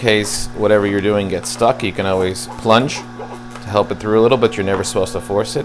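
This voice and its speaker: With clear music in the background, a man speaks at a fairly low pitch. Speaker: home cook demonstrating a juicer. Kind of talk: tutorial. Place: kitchen. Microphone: lapel.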